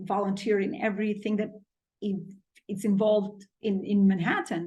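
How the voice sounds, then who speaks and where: At a moderate pace, a woman talks in a medium pitch with monotone, flat intonation, a somewhat breathy quality and a dark, mellow tone. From Albania. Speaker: business consultant and public speaker. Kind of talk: podcast interview answer.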